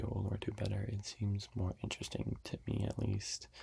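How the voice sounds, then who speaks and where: Whispering at a moderate pace. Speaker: ASMR youtuber. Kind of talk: ASMR whispered chat.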